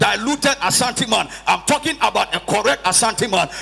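Over noticeable background noise, a man speaks at a moderate pace in an animated tone with lively intonation. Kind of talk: sermon. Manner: animated, call-and-response preaching, with prompts to the congregation; emphatic and repetitive, with rhetorical questions.

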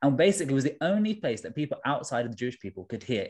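With a London accent, a man speaks at medium pitch using lively intonation. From South London (Tooting). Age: 20s. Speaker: trainee vicar. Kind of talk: interview.

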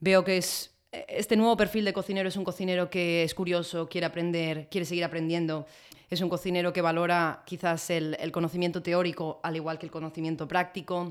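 Flat and monotone, a woman with a fairly low pitch talks at a fairly quick pace on a very clean recording with a silent background. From Spain. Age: 20s. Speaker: chef. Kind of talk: interview conversation.

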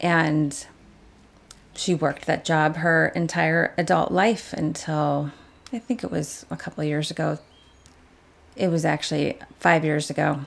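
A woman speaks with a Chicago accent and a very deep, low pitch. Her pitch variation is ordinary, and she leaves long, frequent pauses. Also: fairly slow pace. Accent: Midwestern US (Chicago area). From Chicago southwest suburbs, Illinois. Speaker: hair salon worker. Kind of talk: casual interview. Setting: kitchen table recording.

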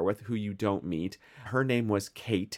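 With a Midwestern American accent, a man speaks at a fairly low pitch with ordinary pitch variation, in a very clean recording with a silent background. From US Midwest. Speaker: podcast co-host. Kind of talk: casual chat.

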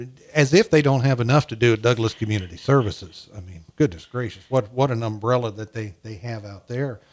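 At a fairly quick pace, a man speaks at a medium pitch with ordinary pitch variation and big swings in loudness. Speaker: podcast host. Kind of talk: casual chat. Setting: studio. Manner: easygoing, hesitant with fillers.

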